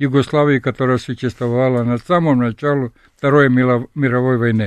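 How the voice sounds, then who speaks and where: A man speaks fairly slowly. Nothing stirs in the background. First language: Serbian (speaking Russian). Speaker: sculptor and professor. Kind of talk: radio interview. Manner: halting.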